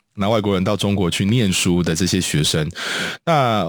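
A man speaks in a very deep, low pitch with a Taiwanese accent. His pace is moderate and his pitch varies in an ordinary way. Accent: Taiwanese Mandarin. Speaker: radio host. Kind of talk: radio interview. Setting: studio. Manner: halting, many filler sounds.

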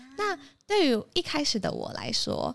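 A woman speaks with very wide pitch swings. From Taipei, Taiwan. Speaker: recent university graduate. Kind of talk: interview.

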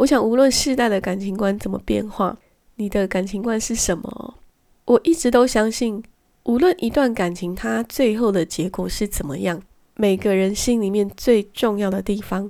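A woman's dark, mellow voice at medium pitch and moderate pace, with ordinary pitch variation, in a very clean recording with a silent background. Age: middle-aged. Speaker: podcast host. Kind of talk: solo podcast monologue.

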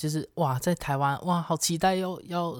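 At a moderate pace, the speech comes through a very clean recording with a silent background. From Malaysia. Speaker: podcast co-host. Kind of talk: casual chat.

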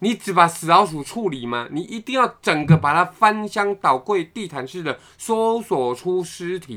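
Speaking at a fairly slow pace, a man with a high pitch and a bright, sharp tone uses lively intonation and big swings in loudness. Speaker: podcast co-host. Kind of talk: casual chat.

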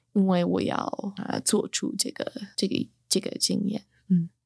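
A woman speaks at a fairly high pitch in a dark, mellow tone. She has a slight Beijing accent. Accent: slight Beijing accent in Mandarin. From New York, US. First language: English (speaking Chinese). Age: 30s. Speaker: writer and chemistry teacher. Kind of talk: casual interview. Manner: loud; halting.

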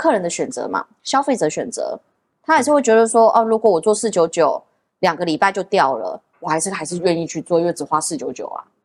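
A woman speaks with a Taiwanese accent. Her pitch swings very widely. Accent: Taiwanese Mandarin. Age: 30s. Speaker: nail artist and salon owner. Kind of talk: casual interview.

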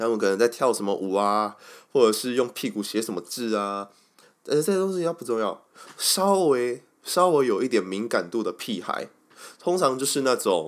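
On a very clean recording with a silent background, a man speaks at a moderate pace. His pitch makes very wide swings. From Taiwan, Kaohsiung. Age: 20s. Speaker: podcast host. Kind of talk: casual monologue.

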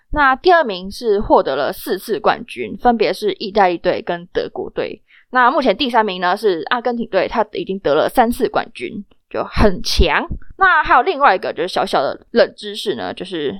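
A woman speaks at a moderate pace with a fairly high pitch and very wide pitch swings. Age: young. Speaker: student podcast host. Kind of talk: casual news chat. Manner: animated.

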